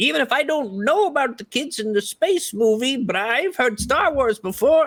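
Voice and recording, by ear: This put-on character voice sits at a fairly high pitch. It moves at a moderate pace.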